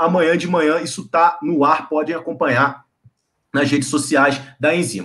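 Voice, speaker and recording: A man is speaking. His pace is moderate. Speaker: live show host. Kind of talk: interview wrap-up.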